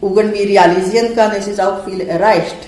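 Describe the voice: A woman speaks with a slightly mellow tone. Room echo is audible.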